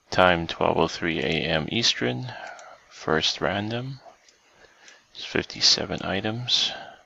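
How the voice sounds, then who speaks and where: Very deep and low, a man's quiet voice swings very widely in pitch. He speaks at a very slow pace with long, frequent pauses. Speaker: online giveaway host. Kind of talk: live stream giveaway drawing. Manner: quiet, hushed.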